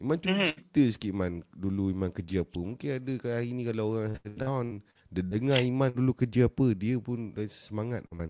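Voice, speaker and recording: At a moderate pace, a man talks at a medium pitch with lively intonation. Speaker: live stream host, entrepreneur coach. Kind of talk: casual live stream chat. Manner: animated.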